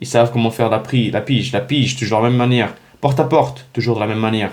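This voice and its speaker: A dark, mellow tone colors this man's speech. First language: not French (speaking French). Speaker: real estate business coach. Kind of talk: direct-to-camera vlog. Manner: animated, halting with many restarts.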